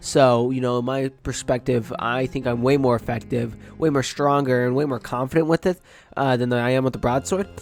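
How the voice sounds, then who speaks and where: Over music in the background, a man talks at a fairly quick pace with a medium pitch and ordinary pitch variation. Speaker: gaming YouTuber. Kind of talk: casual gameplay commentary.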